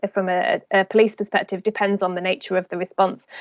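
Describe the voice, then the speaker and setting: Talking at a very fast pace, a woman keeps a medium pitch. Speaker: safeguarding audit presenter. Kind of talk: online training presentation.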